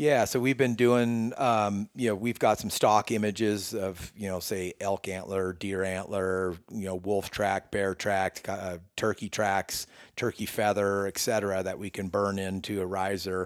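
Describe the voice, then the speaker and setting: In an American accent, a man speaks with hardly any pauses in a fairly low pitch and fairly even intonation, on a very clean recording with a silent background. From Northern California. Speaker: bowyer. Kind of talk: casual interview. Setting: in person, his workshop.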